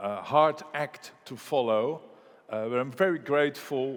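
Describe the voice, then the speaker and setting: A man talks fairly slowly. He has a Dutch accent. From Netherlands (Rotterdam). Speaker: economist. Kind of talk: conference keynote. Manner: halting with fillers.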